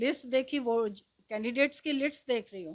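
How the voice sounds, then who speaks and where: With ordinary pitch variation, a woman speaks in a high pitch. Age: 60s. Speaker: former resident welfare association president. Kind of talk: interview. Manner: animated.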